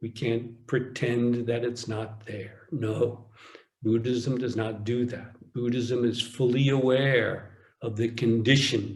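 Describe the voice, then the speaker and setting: Somewhat breathy and monotone, a man speaks at a very slow pace and medium pitch with audible room echo. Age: 60s. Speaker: Zen teacher. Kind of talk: dharma talk. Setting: online retreat.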